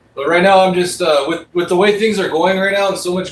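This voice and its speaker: Against noticeable background noise, a man with a high pitch talks at a fairly quick pace. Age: 40s. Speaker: livestreamer reacting to news. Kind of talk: casual chat. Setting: home office livestream.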